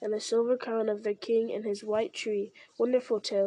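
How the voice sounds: What we hear is a natural reading voice.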